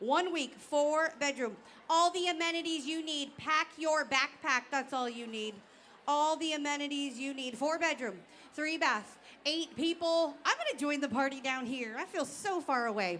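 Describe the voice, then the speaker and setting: Loud and at a moderate pace, a woman speaks with a high pitch and a bright, sharp tone. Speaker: auctioneer. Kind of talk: live auction / gala emcee. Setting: stage with audience.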